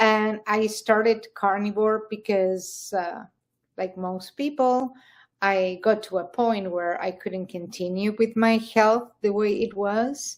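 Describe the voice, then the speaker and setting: Delivery is very slow, with fairly even intonation. The recording is very clean, with a silent background. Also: woman, fairly high pitch for a woman. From Argentina, Buenos Aires. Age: 60s. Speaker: interviewee sharing health journey. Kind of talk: interview.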